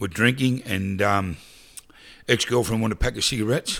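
On a very clean recording with a silent background, a man talks very fast in an Australian accent with ordinary pitch variation. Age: 50s. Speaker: charity founder and prison chaplaincy member. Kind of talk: casual interview chat. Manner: chatty, rambling, forgetful.

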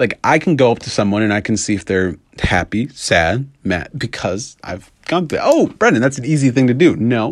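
A man with an American accent and a normal speaking voice, medium in pitch, at a moderate pace with lively intonation, in a very clean recording with a silent background. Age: 20s. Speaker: podcaster. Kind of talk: casual monologue.

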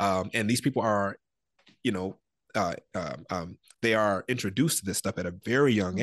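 In a normal speaking voice, a man with an American accent talks at a fairly quick pace and fairly low pitch, with ordinary pitch variation and a dry, close sound with no echo over a quiet background. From Detroit, Michigan. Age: 30s. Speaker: ministry founder. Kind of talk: interview, personal testimony.

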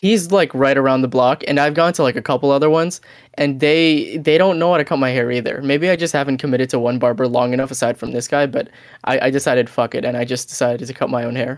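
Very fast speech with ordinary pitch variation. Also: man, fairly high pitch for a man. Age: 20s. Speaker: podcast co-host. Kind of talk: casual chat.

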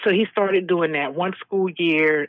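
A woman with a normal speaking voice talks at a fairly low pitch, keeping her intonation fairly even. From Texas. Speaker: bereaved mother, charity founder. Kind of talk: interview testimony. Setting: remote call.

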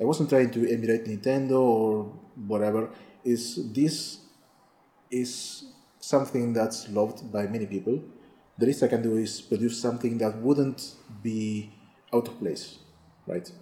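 A man speaks fairly slowly with a non-native accent, a medium pitch and a dark, mellow tone. His intonation is fairly even, and he pauses long and often. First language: not English. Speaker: game developer and programmer. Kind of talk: interview. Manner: halting, many fillers.

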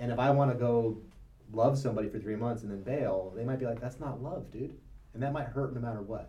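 Speaking at a very fast pace, a man has a medium pitch and a dark, mellow tone. His voice is somewhat breathy, with fairly even intonation. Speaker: brain researcher and meditator. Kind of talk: casual chat.

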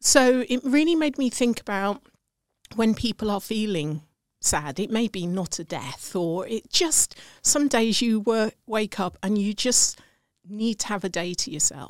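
A woman with a British accent speaks at a fairly slow pace, her fairly high voice lively in intonation, captured dry and close without echo. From England. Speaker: sales expert and entrepreneur.

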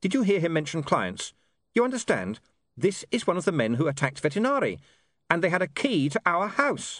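A natural reading voice comes through with a quiet background.

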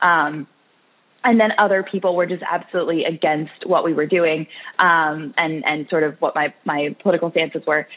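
The pace of this woman's speech is fairly quick. Her pitch rises and falls in an ordinary way. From US West Coast, Orange County, California. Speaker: college student and political activist. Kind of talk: interview. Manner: halting, many fillers.

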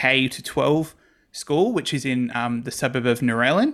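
Over a silent background in a very clean recording, someone with an Australian accent speaks at a moderate pace. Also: man. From South West Sydney, Australia. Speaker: church ministry worker and podcaster. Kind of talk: casual interview chat.

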